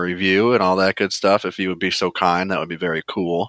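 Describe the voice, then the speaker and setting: The man's voice is fairly low and bright, sharp in tone, with a dry, close sound with no echo in a very clean recording with a silent background. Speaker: podcast co-host. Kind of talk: casual chat.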